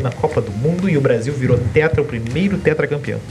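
Over music in the background, a man with a fairly high pitch speaks in an animated tone with lively intonation. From Santa Catarina, Brazil. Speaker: podcast host. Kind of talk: casual chat.

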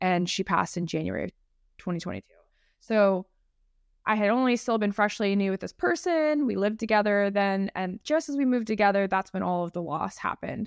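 Talking at a fairly quick pace, a woman with an American accent uses a medium pitch, ordinary pitch variation and an unremarkable speaking voice. The sound is dry and close with no echo, in a very clean recording with a silent background. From San Diego, California. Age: 30s. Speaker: health and fitness coach. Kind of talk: casual chat.

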